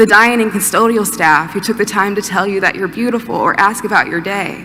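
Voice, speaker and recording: Noticeable background noise behind a woman with an American accent, talking at a moderate pace. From Georgia, USA. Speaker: college student giving a commencement speech. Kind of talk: commencement speech. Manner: upbeat, humorous, warm.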